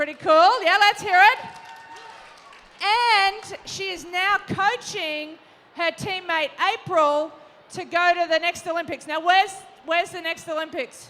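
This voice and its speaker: An animated woman in an Australian accent, her extremely high pitch bright and sharp, with a raised, projected voice, ordinary pitch variation, big swings in loudness, a fairly slow pace with long, frequent pauses, and crowd noise in the background. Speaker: panel moderator, former Olympic volleyball player. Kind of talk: live panel moderation to young audience. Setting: stage with audience.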